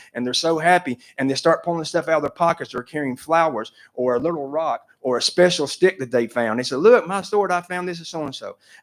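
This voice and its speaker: With an Appalachian accent, a man talks at a fairly quick pace in a fairly high pitch, with ordinary pitch variation and hardly any pauses. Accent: Southern US (Appalachian). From North Carolina. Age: 60s. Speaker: public commenter, trail business owner. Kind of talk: public comment at commission meeting.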